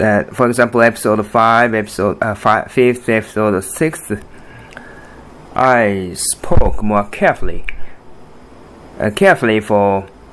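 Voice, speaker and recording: Fairly slow speech from a man at a medium pitch with ordinary pitch variation, long, frequent pauses and noticeable background noise. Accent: Japanese. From Japan. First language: Japanese. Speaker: podcast host and artist. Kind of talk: solo podcast monologue. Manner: halting, many fillers and restarts.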